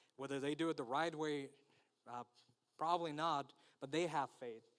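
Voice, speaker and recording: A man with a Spanish accent at a moderate pace. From Mexico, Tijuana. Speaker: guest preacher. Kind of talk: sermon. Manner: halting, many fillers.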